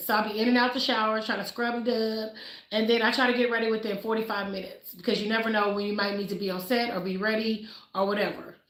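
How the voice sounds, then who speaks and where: Talking at a very fast pace over noticeable background noise, a woman uses a fairly high pitch and a flat, monotone delivery. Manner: fast talker.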